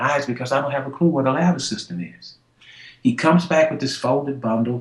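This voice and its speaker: A man's somewhat breathy, fairly high voice at a fairly quick pace. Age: 60s. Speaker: motivational speaker. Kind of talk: storytelling interview. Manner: animated.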